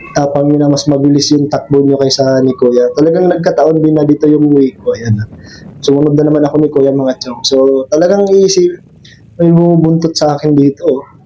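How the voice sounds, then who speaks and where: Over background music, a man talks at a fairly quick pace. His pitch sits fairly high, and his intonation stays fairly even. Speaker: motorcycle vlogger. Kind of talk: vlog monologue while riding. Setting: outdoors on a motorbike on the road. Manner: casual, rambling, friendly.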